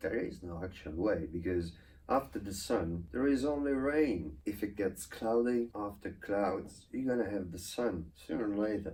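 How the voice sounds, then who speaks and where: Somewhat breathy and dark, mellow in tone, a man speaks at a fairly low pitch and a moderate pace with lively intonation and hardly any pauses. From Italy. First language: Italian. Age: 30s. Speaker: YouTuber. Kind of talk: channel introduction monologue.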